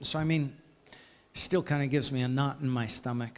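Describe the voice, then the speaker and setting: A man speaks at a fairly slow pace with a fairly high pitch. The recording is very clean, with a silent background. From USA. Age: 60s. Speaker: author and former aid worker. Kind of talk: interview. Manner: halting.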